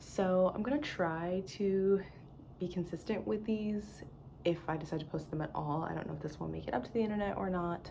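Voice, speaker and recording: A woman with an American accent, fairly low in pitch, at a fairly quick pace with ordinary pitch variation and audible room echo. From US East Coast. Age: 20s. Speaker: knitting podcaster. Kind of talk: casual vlog monologue. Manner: casual, hesitant with fillers.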